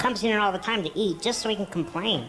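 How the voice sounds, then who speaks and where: A put-on character voice, female-sounding, at a middle pitch and a very fast pace, with clear background noise. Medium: video game. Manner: eager, fast, gushing.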